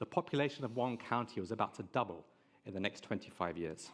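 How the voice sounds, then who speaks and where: At a moderate pace and medium pitch, a man with an English accent talks with lively intonation. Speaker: tech marketing head. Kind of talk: conference presentation.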